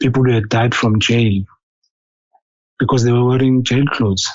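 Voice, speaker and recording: In a non-native accent, the speaker talks with a monotone, flat intonation. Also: man. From South Africa. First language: not English. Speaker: caller sharing a vision. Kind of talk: testimony. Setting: phone call. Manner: halting, many fillers and repetitions.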